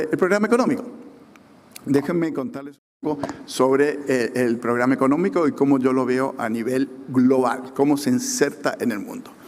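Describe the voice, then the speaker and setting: The delivery has lively intonation and a moderate pace, with audible room echo in the space. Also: man. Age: 60s. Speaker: government economist. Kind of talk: conference talk. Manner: halting, many fillers.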